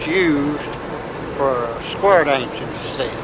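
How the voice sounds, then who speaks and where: A man with an American accent talks at a fairly slow pace, with audible room echo and noticeable background noise. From US South, western North Carolina mountains (Madison County). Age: 80s+. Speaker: square dancer. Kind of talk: oral history interview. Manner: halting, with many fillers.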